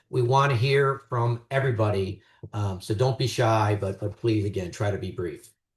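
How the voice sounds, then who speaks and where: With a somewhat breathy voice, a man talks using ordinary pitch variation. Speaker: neighborhood meeting chair. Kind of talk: meeting opening remarks. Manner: fast.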